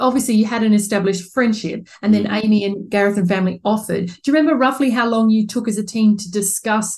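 Somewhat breathy and with an Australian accent, the speech races along at a very fast pace with hardly any pauses. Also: woman, fairly high pitch for a woman, fairly even intonation. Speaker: podcast host and surrogacy support organiser. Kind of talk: interview.

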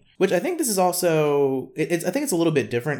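Recorded very cleanly against a silent background, a man with a Southern accent talks at a very fast pace with lively intonation. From US South. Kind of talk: casual chat.

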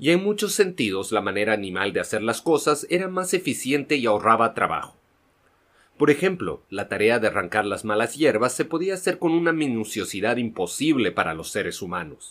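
Speaking at a fairly quick pace, a man with medium pitch makes very wide pitch swings. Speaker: audiobook narrator. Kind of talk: audiobook narration, literary reading aloud. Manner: measured, steady storytelling pace.

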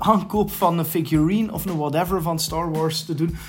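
At a moderate pace, a man speaks in a high voice with a Flemish accent. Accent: Flemish Dutch. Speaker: podcast host. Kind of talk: casual chat.

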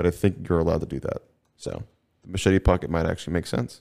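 A man talks at a very fast pace with a very deep, low pitch and vocal fry. His tone is dark and mellow, and his pitch varies in an ordinary way. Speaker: podcast host. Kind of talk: casual chat. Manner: fast talker when excited.

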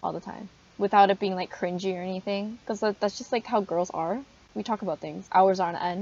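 A woman at a medium pitch uses an ordinary speaking voice with ordinary pitch variation. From Canada, Korean family. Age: 20s. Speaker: university student, podcast co-host. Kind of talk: casual chat.

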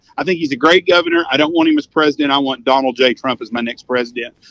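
A man's fairly high voice with a Texan accent and ordinary pitch variation, dry and close with no echo. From Texas. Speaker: hunting outfitter. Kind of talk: casual chat. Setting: phone call.

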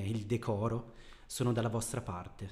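The voice is dark, mellow and somewhat breathy. It moves at a fairly slow pace in a flat monotone. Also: man. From Bergamo, northern Italy. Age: 30s. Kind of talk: casual interview.

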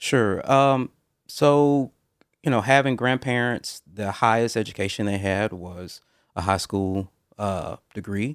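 A man with an American accent and medium pitch, an unremarkable speaking voice, speaks at a fairly slow pace with ordinary pitch variation in a dry, close sound with no echo and a very clean recording with a silent background. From US South, Mobile, Alabama. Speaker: interview guest. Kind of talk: casual interview.

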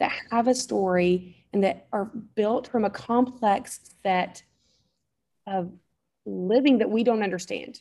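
A woman's medium-pitched voice, dark and mellow in tone, with a slight Southern US accent. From North Alabama, US South. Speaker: mom, photographer and podcaster. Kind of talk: casual interview chat.

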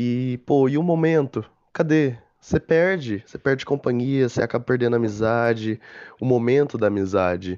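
Against a quiet background, a man in a normal speaking voice talks at a moderate pace and medium pitch, with ordinary pitch variation. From interior of São Paulo state, Brazil. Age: young. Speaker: podcast co-host. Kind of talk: casual chat.

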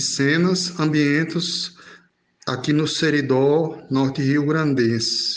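Very slowly, a man delivers his words in a fairly high pitch. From Belo Horizonte, then Brazilian Northeast sertão from age 12. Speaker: writer. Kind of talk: interview. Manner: halting.

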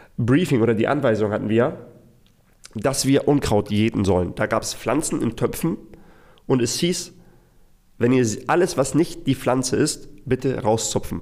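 Long, frequent pauses break up this man's speech at a moderate pace. His medium pitch shows ordinary variation. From Hamburg suburbs, Germany (moved from Iraq at six). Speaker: business consultant for freelancers. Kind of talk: solo storytelling monologue. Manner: casual with fillers and repetitions.

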